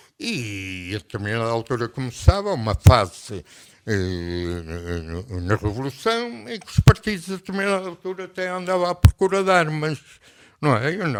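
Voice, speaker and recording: Music plays in the background as a man speaks with a European Portuguese accent. His pitch swings very widely. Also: medium pitch for a man, moderate pace. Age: 80s+. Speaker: retired army general, revolution veteran. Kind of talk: radio interview answer.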